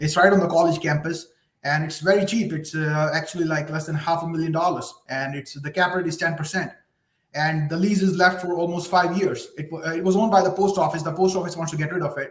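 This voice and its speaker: Talking at a very fast pace, the man has a high pitch and a monotone, flat intonation. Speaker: caller. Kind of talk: phone-in advice call.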